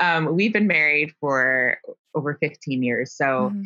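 A woman speaks at a very deep, low pitch in a bright, sharp tone, at a moderate pace. Her intonation is lively, and the sound is dry and close with no echo. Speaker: former journalist and blogger. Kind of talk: casual interview conversation. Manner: calm, measured, not overly passionate.

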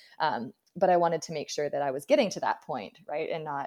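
A woman with a Canadian accent talks at a very fast pace in a very deep, low pitch, her voice dry and close with no echo in a very clean recording over a silent background. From British Columbia, Canada. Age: 30s. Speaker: ultra runner and running coach. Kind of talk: interview.

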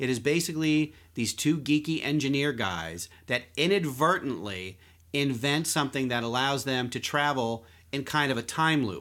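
A man with an American accent talks at a moderate pace in a bright, sharp tone, his pitch fairly high and his intonation lively. The recording is very clean, with a silent background. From Philadelphia. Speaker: podcast host, magazine writer. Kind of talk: casual chat.

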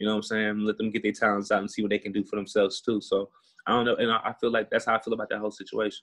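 A man's fairly low voice in an American accent, at a very fast pace, with monotone, flat intonation. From Houston, Texas. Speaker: music producer. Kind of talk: casual interview. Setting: video call.

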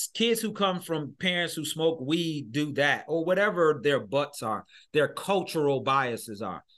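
A man with an American accent, fairly high pitch, animated tone and lively intonation, at a fairly slow pace against a quiet background. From Michigan, US. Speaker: education consultant and speaker. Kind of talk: interview conversation.

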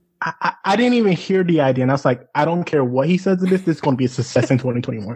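Talking at a very fast pace with lively intonation, a man with an American accent has a fairly high, somewhat breathy voice and very even loudness. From US South, small town. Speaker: podcast guest. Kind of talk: casual chat.

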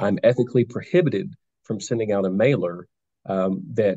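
In a dark, mellow tone, a man talks at a moderate pace with a fairly low pitch. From Nashville, Tennessee. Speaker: judicial candidate, trial attorney. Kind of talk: interview.

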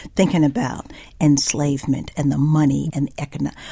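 A woman with an American accent speaks in a dark, mellow tone with vocal fry. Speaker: writer. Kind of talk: radio interview. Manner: halting.

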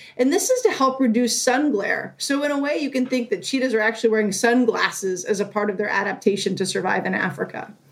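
Over noticeable background noise, a woman with an American accent talks at a very fast pace with hardly any pauses, her fairly high pitch carrying lively intonation. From Northern California. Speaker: zoo animal care supervisor. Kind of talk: interview, explaining to kids.

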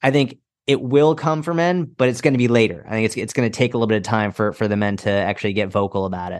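Against a quiet background, a man speaks at a very fast pace with lively intonation and a medium pitch. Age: 30s. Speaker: fitness coach. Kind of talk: interview conversation.

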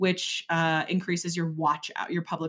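A woman with an American accent, a plain, everyday voice, fairly low in pitch, at a fairly quick pace. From Wisconsin, Door County. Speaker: business coach. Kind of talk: interview.

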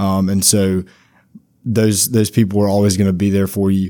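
A man speaks with a Louisiana accent at a fairly low pitch. His tone is dark and mellow. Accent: Louisiana Southern. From Louisiana, Monroe area. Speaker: student orientation leader. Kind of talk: casual chat.

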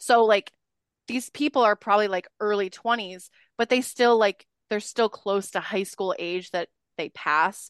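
A woman talks in a plain, everyday voice with ordinary pitch variation, the sound dry and close with no echo. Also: medium pitch for a woman, fairly slow pace. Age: 20s. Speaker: podcast host, guest. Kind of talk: casual chat. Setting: video call.

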